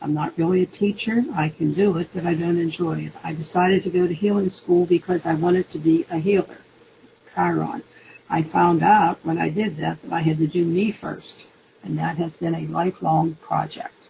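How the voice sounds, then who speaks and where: Noticeable background noise runs under a woman talking at a moderate speed. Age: 70s. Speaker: guest presenter sharing her astrology chart. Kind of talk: personal testimony presentation. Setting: webinar.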